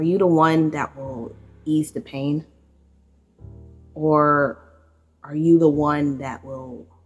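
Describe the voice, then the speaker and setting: Music plays in the background as a woman speaks very slowly in a very deep, low pitch, with long, frequent pauses. Her loudness swings a lot. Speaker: poet in cosplay. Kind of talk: poetry reading. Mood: romantic, wistful. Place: home room. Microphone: phone near.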